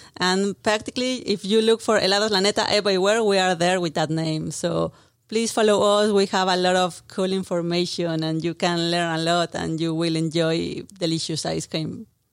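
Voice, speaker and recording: Her voice fairly low, a woman speaks at a moderate pace with fairly even intonation. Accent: Mexican. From Mexico City. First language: Spanish. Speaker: brand marketing manager. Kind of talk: casual interview. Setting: studio.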